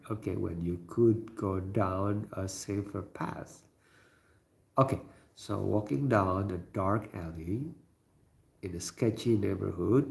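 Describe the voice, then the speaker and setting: A man with an Indonesian accent speaks at a very slow pace, his fairly low voice somewhat breathy. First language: not English. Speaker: livestreamer. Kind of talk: casual live-stream talk reading chat. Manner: hesitant, many fillers.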